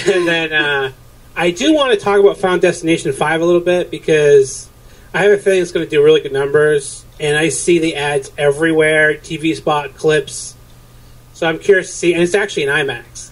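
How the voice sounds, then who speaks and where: This man has a New Hampshire accent. He talks at a fairly quick pace with fairly even intonation. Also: fairly high pitch for a man. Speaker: podcast host planning an episode. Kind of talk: casual pre-show planning chat.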